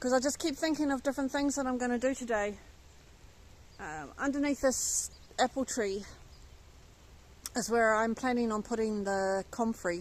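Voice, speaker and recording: In an English accent, a woman speaks at a high pitch with ordinary pitch variation. Her pace is moderate, with long, frequent pauses. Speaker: allotment gardener and vlogger. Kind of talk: casual vlog talk. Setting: outdoors in allotment garden.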